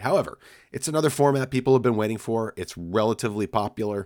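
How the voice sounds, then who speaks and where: A man talks very fast with lively intonation, the sound dry and close with no echo. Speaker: tech podcast co-host. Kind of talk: casual chat. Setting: video call.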